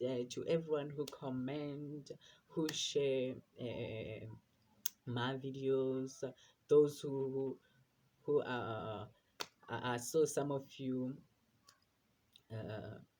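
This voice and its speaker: Very slow and broken by long, frequent pauses, a man's medium-pitched voice carries a dark, mellow tone and fairly even intonation. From South Africa, rural area. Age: 20s. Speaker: vlogger. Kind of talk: casual personal vlog. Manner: halting, many fillers and repetitions.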